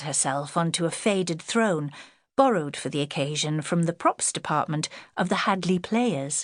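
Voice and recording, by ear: Her pitch sits fairly low. The woman keeps a moderate pace in a very clean recording with a silent background.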